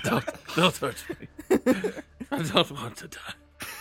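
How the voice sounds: With music in the background, a put-on character voice, gravelly and raspy at a middle pitch, speaks at a very slow pace.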